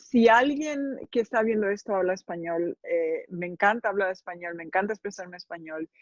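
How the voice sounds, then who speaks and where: The voice has a Spanish accent and ordinary pitch variation at a very fast pace. The sound is dry and close with no echo. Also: woman, medium pitch for a woman. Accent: Spanish accent from Spain. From Spain. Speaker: author and journalist. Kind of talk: interview.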